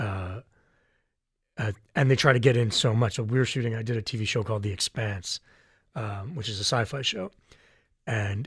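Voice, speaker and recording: A man speaks with medium pitch and ordinary pitch variation, his voice somewhat breathy. The recording is very clean, with a silent background. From Canada. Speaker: voice actor. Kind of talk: interview answer.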